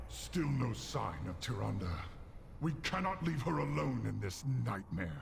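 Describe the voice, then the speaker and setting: Over clear background noise, a man uses a put-on character voice at a fairly slow pace. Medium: video game. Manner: blunt, gruff.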